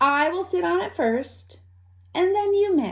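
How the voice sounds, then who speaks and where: Using a put-on character voice, a woman drawls at a fairly slow pace, pitched high. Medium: read story. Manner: long, slow drawl.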